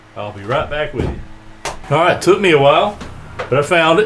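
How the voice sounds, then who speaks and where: Noticeable background noise runs through the clip, along with audible room echo. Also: man. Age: 60s. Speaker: woodworking hobbyist and lawn care business owner. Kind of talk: tutorial. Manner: casual, relaxed.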